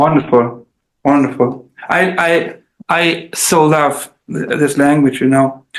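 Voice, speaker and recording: Speaking very slowly in a German accent, a man holds a fairly high pitch with fairly even intonation. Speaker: translator and musician. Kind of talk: casual chat. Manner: halting.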